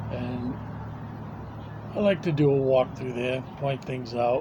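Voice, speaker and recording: Over noticeable background noise, a man with a New England accent talks at a fairly slow pace and medium pitch, with ordinary pitch variation. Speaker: recovery video blogger. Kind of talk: casual monologue and reading aloud. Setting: home recording on a tablet. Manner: halting.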